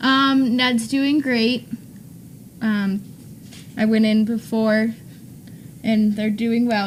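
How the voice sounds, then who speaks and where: A woman speaks in a somewhat breathy, fairly high voice with fairly even intonation. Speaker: dog trainer. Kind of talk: casual chat. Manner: fast.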